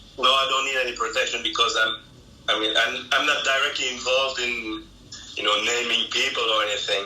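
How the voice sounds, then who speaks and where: Over noticeable background noise and audible room echo, a man talks at a fairly quick pace in a monotone, flat voice. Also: medium pitch for a man. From Belgium, French-speaking part. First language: German. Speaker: legal translator. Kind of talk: interview. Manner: halting, many fillers and restarts.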